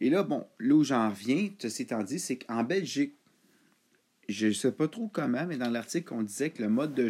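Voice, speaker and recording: On a very clean recording with a silent background, a man with a Quebec accent speaks at a moderate pace and medium pitch, with lively intonation and a dark, mellow tone. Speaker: football podcaster. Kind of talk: solo casual monologue. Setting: at home.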